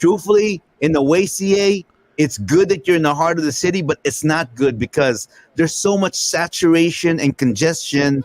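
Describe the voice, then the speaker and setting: An unremarkable speaking voice belongs to a man with a fairly high pitch, ordinary pitch variation and a moderate pace. His loudness stays very even, and the sound is dry and close with no echo. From Northern California. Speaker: podcast host. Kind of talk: casual chat.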